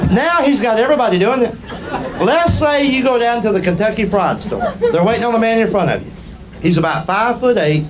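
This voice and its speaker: A man with a Southern US accent speaks at a fairly quick pace in a high voice, his intonation lively and his loudness very even, with crowd noise behind him. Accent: Southern American. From Southern United States. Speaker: stand-up comedian. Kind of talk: stand-up comedy performance. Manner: storytelling.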